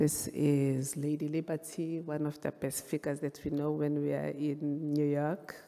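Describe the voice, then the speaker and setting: A woman with a Zulu accent speaks at a moderate pace with hardly any pauses, her very deep, low voice dark and mellow in tone and her intonation monotone and flat. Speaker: photographer and visual artist. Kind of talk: panel presentation of artworks. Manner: halting, with fillers.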